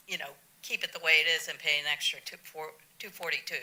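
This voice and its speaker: A woman talks at a fairly quick pace. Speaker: resident speaking at public comment. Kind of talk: public comment at city council meeting. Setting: council chamber. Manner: halting.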